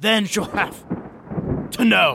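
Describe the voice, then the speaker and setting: A man's raspy, put-on character voice at a very slow pace. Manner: taunting, menacing.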